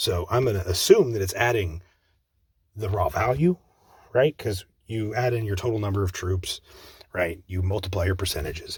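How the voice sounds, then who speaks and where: At a moderate pace, a man with a fairly low pitch and ordinary pitch variation sounds somewhat breathy. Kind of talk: casual gaming commentary.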